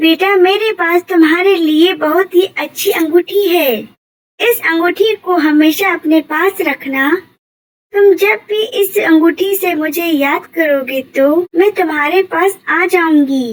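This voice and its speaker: A female-sounding, cartoonish character voice pitched extremely high. The delivery comes at a fairly slow pace. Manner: sweet, coaxing.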